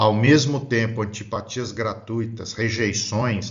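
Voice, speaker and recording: A man with a somewhat breathy voice speaks at a fairly slow pace in a fairly low pitch. His intonation is fairly even, and audible room echo surrounds him. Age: 60s. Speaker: spiritist lecturer. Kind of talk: lecture. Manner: halting.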